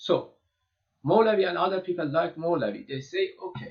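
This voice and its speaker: At a fairly slow pace, this speaker talks with a non-native accent. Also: man. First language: Persian. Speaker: lecturer on poetry and mysticism. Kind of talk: lecture. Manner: halting, many fillers and repetitions.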